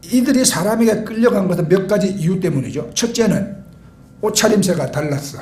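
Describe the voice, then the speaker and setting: High-pitched man in a Gyeongsang accent, at a moderate pace with ordinary pitch variation and audible room echo. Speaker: pastor. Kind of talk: sermon.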